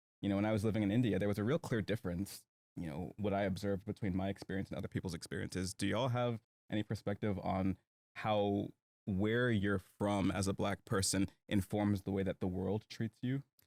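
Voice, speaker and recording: With an American accent, a man with a fairly low pitch and an unremarkable speaking voice talks at a fairly quick pace using fairly even intonation. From United States. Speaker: podcast host. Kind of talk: casual chat.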